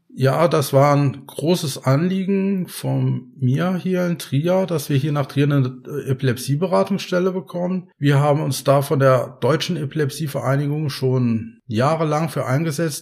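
At a fairly slow pace and with hardly any pauses, a somewhat breathy man talks with ordinary pitch variation on a very clean recording with a silent background. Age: 50s. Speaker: patient advocate, head of an epilepsy self-help association. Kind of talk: casual interview. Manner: hesitant, with many filler sounds.

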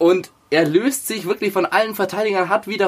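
A man's voice with lively intonation. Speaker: football podcast co-host. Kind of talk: casual sports chat.

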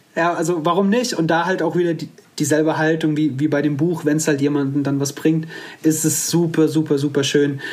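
A man's fairly high voice at a fairly quick pace, fairly even intonation, audible room echo and noticeable background noise. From Hesse, Offenbach area near Frankfurt. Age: 30s. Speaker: bone cancer survivor, one-legged mountaineer. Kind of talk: interview, personal story. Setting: video call from home.

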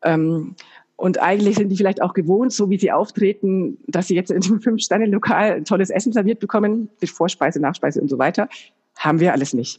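At a fairly quick pace, a woman talks with a medium pitch, ordinary pitch variation, very even loudness and a somewhat breathy quality. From Germany, Bayreuth (Upper Franconia). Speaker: business coach and trainer. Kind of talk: podcast interview. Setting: remote call.

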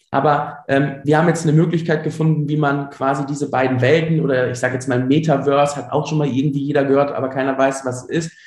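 A very fast, fairly high-pitched male voice, somewhat breathy and monotone, with hardly any pauses. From Germany, Ruhr area (Dorsten). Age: 30s. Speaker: entrepreneur, former primary school teacher. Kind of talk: interview. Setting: remote call.

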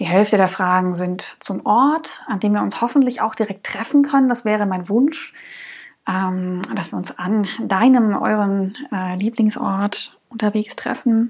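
At a fairly slow pace, a woman speaks in a medium pitch with a somewhat breathy voice. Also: ordinary pitch variation. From Saxony, Dresden region. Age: 30s. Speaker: podcast host, hiker. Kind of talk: solo podcast monologue. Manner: many filler sounds.

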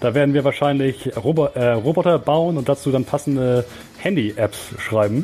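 Music plays in the background as a man talks at a moderate pace, his pitch fairly high with ordinary variation. His loudness stays very even. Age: 20s. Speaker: student radio presenter. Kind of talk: casual chat.

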